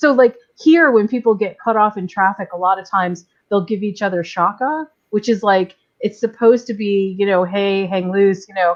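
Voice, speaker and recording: An ordinary speaking voice from a woman, medium in pitch with ordinary pitch variation, at a moderate pace. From New York. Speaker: live stream panelist. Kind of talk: casual chat.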